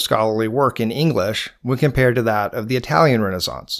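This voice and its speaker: A man talks at a very fast pace with a Georgia accent. His pitch variation is ordinary. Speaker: podcast host. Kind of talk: scripted narration.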